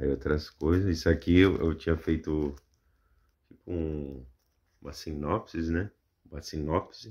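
A man speaks at a fairly slow pace with a very deep, low pitch. His voice is somewhat breathy. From Brazil. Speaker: YouTuber. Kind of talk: casual show-and-tell commentary. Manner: animated, exclamatory, laughing. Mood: amused, self-mocking. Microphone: phone near.

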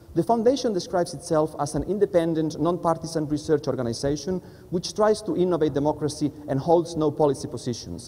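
A man with a Spanish accent talks at a very fast pace with hardly any pauses. His pitch is fairly high. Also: ordinary pitch variation. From Spanish-speaking country. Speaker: politics lecturer. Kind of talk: panel presentation. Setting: stage with audience. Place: hall.

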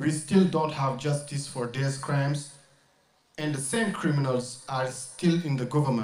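At a fairly slow pace, a man with a French accent speaks at a fairly high pitch in a room with audible echo. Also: ordinary pitch variation. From Mauritania. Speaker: activist and rapper; speaker. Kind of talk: protest speech. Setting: outdoor demonstration with crowd. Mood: serious, grave. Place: open country.

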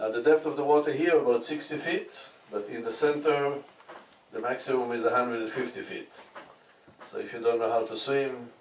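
Speaking at a fairly quick pace, a man is heard with light background noise and audible room echo. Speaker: tour guide. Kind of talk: guided tour commentary. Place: boat.

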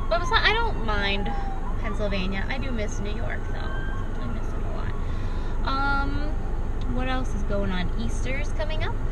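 A woman at a fairly slow pace amid loud background noise. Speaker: vlogger. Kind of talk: casual vlog chat. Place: car. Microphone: phone near.

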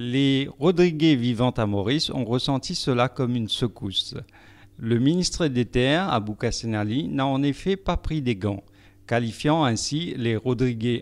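A man talks in a normal speaking voice at a medium pitch and fairly slow pace. The recording is very clean with a silent background. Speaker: news reporter. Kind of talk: news reading.

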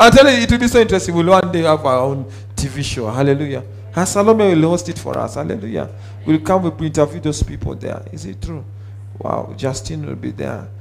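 A man talks at a fairly quick pace with big swings in loudness. Faint music plays in the background. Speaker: preacher. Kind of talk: sermon. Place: church. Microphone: headset.

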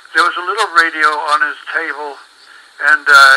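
Through noticeable background noise, a man with a fairly high pitch speaks at a moderate pace. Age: 80s+. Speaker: former radio director. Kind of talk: interview answer.

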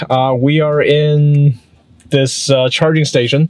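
The recording is dry, with no echo. A man does the talking. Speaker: EV road trip vlogger. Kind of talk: casual vlog chat. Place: car.

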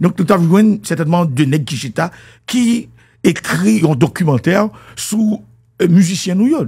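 A man with a Haitian accent speaks at a moderate pace in a dark, mellow tone. His pitch swings very widely over a quiet background. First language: Haitian Creole (speaking French). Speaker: music commentator. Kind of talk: monologue commentary. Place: studio. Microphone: studio mic.

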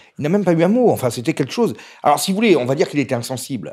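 The background is quiet as a man speaks, his pitch swinging very widely. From Corsica. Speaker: essayist; interview guest. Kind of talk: interview. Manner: fast; energetic. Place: home room. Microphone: handheld.

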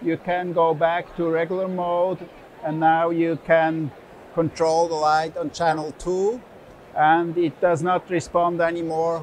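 The voice moves at a fairly slow pace with monotone, flat intonation, the sound dry with no echo and light background noise behind it. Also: man, high pitch for a man. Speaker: exhibitor demonstrating product. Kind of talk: product demonstration. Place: hall.

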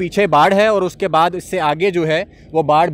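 Here a man speaks in a high voice with fairly even intonation. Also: dry sound with no echo. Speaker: field news reporter. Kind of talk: on-the-spot news report. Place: street. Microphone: handheld.

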